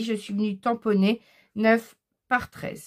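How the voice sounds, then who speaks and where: The recording is very clean with a silent background, carrying a woman's fairly high voice. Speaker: crafts tutorial youtuber. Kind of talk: tutorial.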